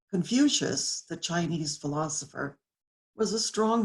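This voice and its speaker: A woman's somewhat breathy, very deep voice at a moderate pace with lively intonation. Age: 70s. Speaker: graduating student. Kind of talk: commencement speech.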